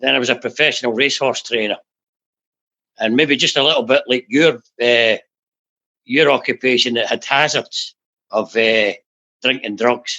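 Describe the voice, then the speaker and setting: Speaking with a Glaswegian accent at a moderate pace, a man uses a medium pitch, a bright, sharp tone and fairly even intonation, with long, frequent pauses and a dry, close sound with no echo. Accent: Glaswegian Scottish. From Scotland, south of Glasgow. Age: 60s. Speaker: recovering addict, former jockey and racehorse trainer. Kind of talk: personal testimony interview. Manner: halting, frequent fillers and repetitions.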